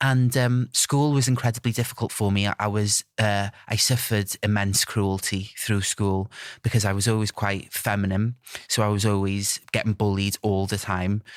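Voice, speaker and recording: A man with a North Welsh accent speaks at a fairly low pitch and a moderate pace. His intonation is fairly even, his loudness very even, and the sound dry and close with no echo. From North Wales. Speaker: TikTok creator. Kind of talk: podcast interview.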